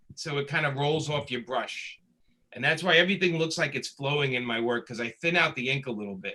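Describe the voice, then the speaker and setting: With a Brooklyn accent, this voice moves at a fairly quick pace with lively intonation. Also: man. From Brooklyn, New York. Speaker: comic book inker and writer. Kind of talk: panel interview.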